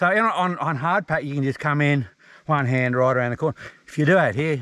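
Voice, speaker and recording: Delivered at a fairly quick pace, this voice has an Australian accent and lively intonation. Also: man. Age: 60s. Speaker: ex-motocross rider. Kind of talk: casual chat. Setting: outdoors.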